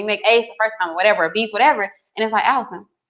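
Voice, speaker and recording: The voice has a bright, sharp tone and a Southern US accent. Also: woman. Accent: country (Southern US). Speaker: co-host. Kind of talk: casual chat.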